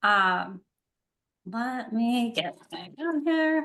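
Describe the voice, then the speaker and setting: A woman speaks with a slight Wisconsin accent. Her tone is bright and sharp, and her intonation is lively. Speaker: university student conduct coordinator, prospective doctoral student. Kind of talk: casual introduction in online info session.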